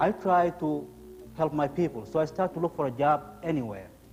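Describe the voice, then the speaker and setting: Over music in the background, a man talks at a fairly quick pace with a fairly high pitch and lively intonation. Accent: non-native. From abroad, studied in Russia. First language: not English. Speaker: immigrant telling his story in a play. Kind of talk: theatrical monologue.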